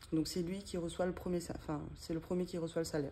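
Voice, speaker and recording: Very deep and low in pitch, a woman speaks with a dark, mellow tone. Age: 30s. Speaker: budget vlogger. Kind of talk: casual vlog tutorial. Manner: halting, many hesitations.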